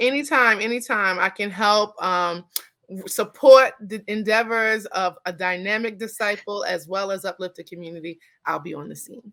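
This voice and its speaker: Speaking with an animated, bright, sharp tone in a New York accent, a woman at a medium pitch uses ordinary pitch variation and big swings in loudness on a very clean recording with a silent background. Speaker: therapist. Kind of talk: interview. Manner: fast.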